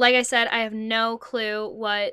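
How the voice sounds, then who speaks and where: On a very clean recording with a silent background, a woman talks in an American accent. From New Jersey. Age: 20s. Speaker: podcast host. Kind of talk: casual monologue. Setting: home closet.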